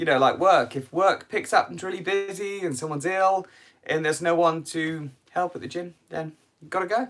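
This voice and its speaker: In a British accent, a man speaks with a fairly high pitch. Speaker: cycling youtuber. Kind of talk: live stream q&a. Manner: casual, hesitant.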